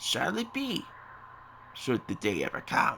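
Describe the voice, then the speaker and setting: Put-on character voice from a man, with clear background noise behind it. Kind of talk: archaic fantasy speech. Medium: video game. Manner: solemn, measured.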